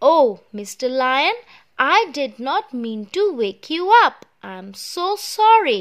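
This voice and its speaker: A woman puts on a character voice, high-pitched, very slow, and with very wide pitch swings. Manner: trembling, frightened, apologetic.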